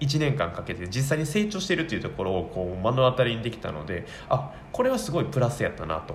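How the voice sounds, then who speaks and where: Audible room echo surrounds a man speaking very fast at medium pitch. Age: 20s. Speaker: office worker and hobby blogger/YouTuber. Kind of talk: casual solo talk radio monologue. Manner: halting, many fillers.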